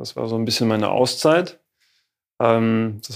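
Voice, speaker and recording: With fairly even intonation, an unremarkable speaking voice proceeds at a moderate pace. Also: man. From Germany, Rhineland (Neuwied). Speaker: physiotherapy school director. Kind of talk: interview. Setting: in a physiotherapy practice.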